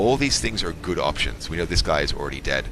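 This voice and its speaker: A man speaks with very wide pitch swings. Music plays in the background, and room echo is audible. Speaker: video game let's player. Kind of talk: gameplay commentary. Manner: fast.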